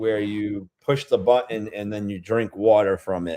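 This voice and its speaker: The voice moves at a very slow pace in a dark, mellow tone. It carries a slight Rhode Island accent. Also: man. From Rhode Island, New England. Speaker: beer-tasting vlogger. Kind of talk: casual livestream chat. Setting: livestream. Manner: animated, chatty.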